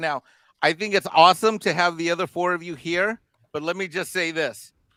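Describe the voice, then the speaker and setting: A man's raised, projected voice with a bright, sharp tone, ordinary pitch variation and a moderate pace, in a dry, close sound with no echo. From Mexico. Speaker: guest on a livestream panel. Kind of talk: casual chat. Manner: animated.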